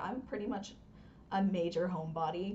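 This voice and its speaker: A woman with an American accent speaks at a moderate pace in an unremarkable speaking voice. Her pitch is fairly low. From US South, North Carolina. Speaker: hockey podcast co-host. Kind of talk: casual chat.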